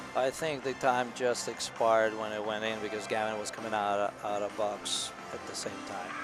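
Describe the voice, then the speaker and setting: With a non-native accent, a man of fairly low pitch talks at a moderate pace with fairly even intonation and hardly any pauses, music playing in the background. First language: not English. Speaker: hockey parent color commentator. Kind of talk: live commentary.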